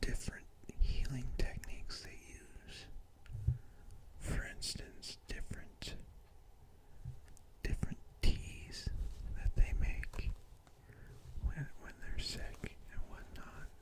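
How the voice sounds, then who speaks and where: The speaker whispers very slowly, with long pauses that come often. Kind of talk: ASMR whispering. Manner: whispered, soft-spoken.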